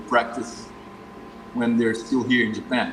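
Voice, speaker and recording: Over noticeable background noise, a man speaks with fairly even intonation and audible room echo. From Northeast Brazil. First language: Portuguese. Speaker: martial arts instructor. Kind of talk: interview. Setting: live stream video call.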